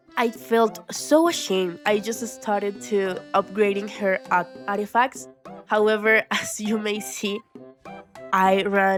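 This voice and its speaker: Music plays behind a woman speaking at a medium pitch. Her pitch swings very widely. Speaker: gaming YouTuber. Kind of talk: casual gameplay commentary.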